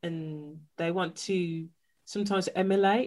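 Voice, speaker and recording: A woman with a Birmingham accent, monotone and flat, on a very clean recording with a silent background. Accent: Birmingham (Brummie) English. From Birmingham, England. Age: 30s. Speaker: podcast host, brand consultant. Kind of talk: casual interview chat.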